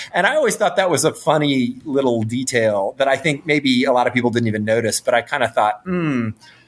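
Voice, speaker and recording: Using an ordinary speaking voice, a man with an American accent talks fairly quickly at a medium pitch, with lively intonation and hardly any pauses. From North Carolina, US South. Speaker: film director. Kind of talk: interview.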